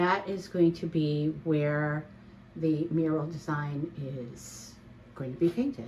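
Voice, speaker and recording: A woman speaks at a very slow pace in a very deep, low pitch, her tone dark and mellow and somewhat breathy. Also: ordinary pitch variation. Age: 60s. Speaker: home renovation vlogger. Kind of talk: casual DIY vlog narration. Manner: casual, hesitant with fillers.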